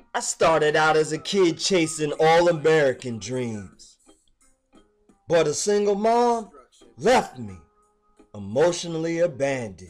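Music plays in the background as a man with a fairly high voice talks at a fairly slow pace, his pitch swinging very widely between long, frequent pauses. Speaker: spoken word poet. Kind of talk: hip hop spoken word poetry performance.

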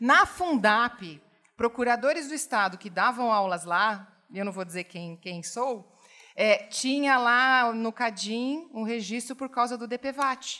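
A woman with a fairly high pitch and a bright, sharp tone speaks at a very slow pace against a quiet background. Her intonation is lively, with big swings in loudness. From Brazil. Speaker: public administration expert; speaker. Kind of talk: panel Q&A. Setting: auditorium with audience. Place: hall. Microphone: podium.

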